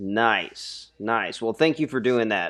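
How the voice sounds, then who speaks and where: An ordinary speaking voice from a man, lively in intonation and moderate in pace, over a quiet background. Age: 20s. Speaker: podcast host. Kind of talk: scripted intro; podcast interview. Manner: upbeat, playful.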